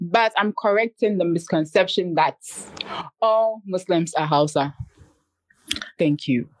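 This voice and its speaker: A woman with a Ghanaian accent speaks at a fairly slow pace and medium pitch, with long, frequent pauses. Her loudness stays very even, her pitch varies in an ordinary way, and the sound is dry and close with no echo. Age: 20s. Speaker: YouTuber and entrepreneur. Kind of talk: casual chat. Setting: at home, house being painted.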